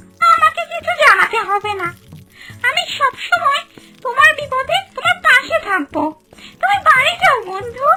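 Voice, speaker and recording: This cartoonish character voice sits at an extremely high pitch and moves at a fairly slow pace. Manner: warm, kindly.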